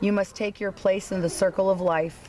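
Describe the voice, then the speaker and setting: A woman's raspy put-on character voice at medium pitch and moderate pace, with clear background noise. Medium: read story.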